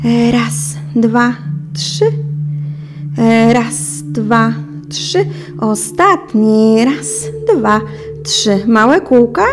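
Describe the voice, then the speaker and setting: With clear music in the background, a woman speaks at a very slow pace, her loudness very even and her words broken by long, frequent pauses. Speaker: fitness instructor. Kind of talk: exercise class instruction. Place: home room.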